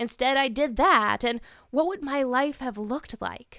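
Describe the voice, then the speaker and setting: This is a woman's voice. Her tone is bright and sharp. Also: very clean recording, silent background. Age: 20s. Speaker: film reviewer, podcast host. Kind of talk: scripted review monologue.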